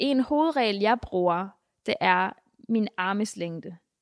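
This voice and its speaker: A woman speaks at a fairly slow pace in a normal speaking voice, medium in pitch with ordinary pitch variation, on a very clean recording with a silent background. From Denmark, Mexican family background. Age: 20s. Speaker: church member and convert. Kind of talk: interview testimony. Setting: church building.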